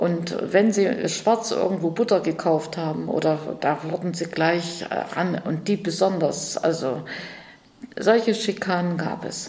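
A woman with a fairly low pitch and ordinary pitch variation speaks at a very slow pace, with audible room echo and noticeable background noise. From Erfurt, Thuringia. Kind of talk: interview.

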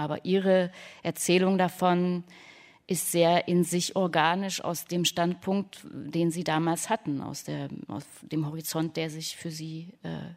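On a very clean recording with a silent background, a woman speaks very slowly in a fairly low, monotone, flat voice with big swings in loudness. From Leipzig, Saxony. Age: 30s. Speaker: radio author. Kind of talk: panel discussion.

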